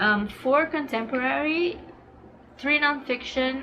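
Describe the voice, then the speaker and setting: In a Portuguese accent, a woman speaks at a very slow pace with very wide pitch swings, amid audible room echo and noticeable background noise. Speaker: booktuber. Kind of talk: casual vlog talk. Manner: casual with frequent fillers.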